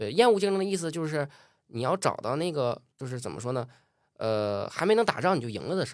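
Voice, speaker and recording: On a very clean recording with a silent background, a man speaks at a very fast pace in a fairly high voice. His tone is animated, with very wide pitch swings. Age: 20s. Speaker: entrepreneur. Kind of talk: interview.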